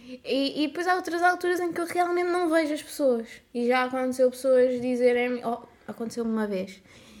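Amid noticeable background noise, a woman with a European Portuguese accent talks fairly quickly in a high pitch with lively intonation. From Portugal, Samora Correia (Ribatejo). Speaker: podcast co-host, TikTok creator. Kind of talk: casual chat.

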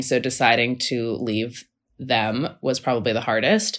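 A woman with an American accent on a very clean recording with a silent background. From US Pacific Northwest, Seattle. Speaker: expat guest sharing her story. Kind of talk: casual chat.

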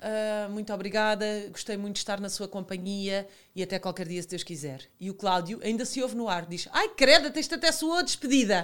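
A woman speaks with a Lisbon accent at a fairly quick pace, her intonation lively. The recording is very clean, with a silent background. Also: medium pitch for a woman. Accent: European Portuguese, Lisbon. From Portugal, Lisbon and Alentejo (Santo André). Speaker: TV presenter and former model. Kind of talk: casual chat.

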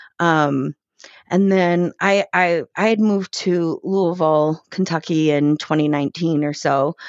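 Speaking in an American accent, a woman has a plain, everyday voice, fairly low in pitch, at a fairly slow pace with very even loudness. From Chicago, South Side. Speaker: guest sharing a DNA discovery story. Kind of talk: personal testimony.

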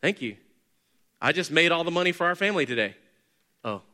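A man speaks at a fairly quick pace in a raised, projected voice with a bright, sharp tone. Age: 40s. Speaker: pastor. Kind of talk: sermon. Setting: church.

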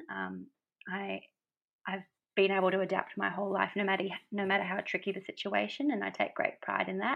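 A woman with an Australian accent talks at a fairly quick pace. Her speech has long, frequent pauses. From Australia, Brisbane. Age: 30s. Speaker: small business owner and poet. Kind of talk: podcast interview. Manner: hesitant, many fillers.

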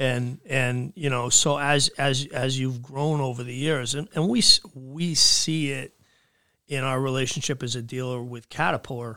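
A fairly slow, fairly even voice in a New England accent, very cleanly recorded against a silent background. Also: man, medium pitch for a man. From southern New Hampshire. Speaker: equipment dealership owner. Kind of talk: casual interview. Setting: studio.

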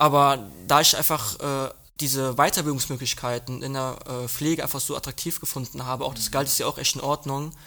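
A man's bright, sharp tone with fairly even intonation at a fairly quick pace, on a very clean recording with a silent background. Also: fairly high pitch for a man. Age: young. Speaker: nursing trainee. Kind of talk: casual chat.

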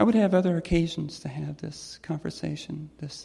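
A woman with an American accent speaks at a moderate pace in a very deep, low pitch, her tone dark, mellow and somewhat breathy. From US South, Georgia. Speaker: storyteller. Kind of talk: personal storytelling.

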